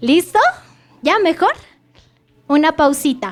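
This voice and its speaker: A woman's voice at a high pitch. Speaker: preacher. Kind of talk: sermon.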